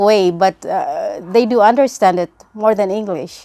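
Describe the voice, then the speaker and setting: This woman's voice sits fairly high, with lively intonation, in a Filipino accent. She speaks at a fairly slow pace. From Philippines. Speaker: nurse. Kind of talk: testimony. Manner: halting, many fillers.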